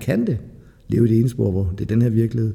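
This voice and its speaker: A man with a medium pitch speaks in a dark, mellow tone marked by vocal fry. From Denmark, Lolland. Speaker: recovering addict. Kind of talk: testimony. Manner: halting.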